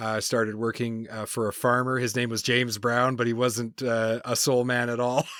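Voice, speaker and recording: In an Atlantic Canadian accent, the speaker talks at a moderate pace with hardly any pauses and a monotone, flat intonation. Background noise is noticeable. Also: man, medium pitch for a man. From Canada, New Brunswick (Maritimes). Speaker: consultant and podcast host. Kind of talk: interview.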